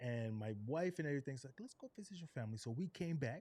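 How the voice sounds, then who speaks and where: In an American accent, this dark, mellow voice moves at a fairly quick pace with lively intonation. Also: man. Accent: Geechee accent may slip in. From South Carolina (Charleston, Gullah Geechee area). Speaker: podcast host, military veteran. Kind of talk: casual interview chat. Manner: animated.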